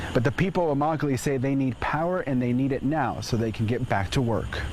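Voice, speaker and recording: An American accent at a fairly quick pace, with ordinary pitch variation and noticeable background noise. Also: man. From Dallas, Texas. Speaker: news anchor and reporter. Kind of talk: TV news field report.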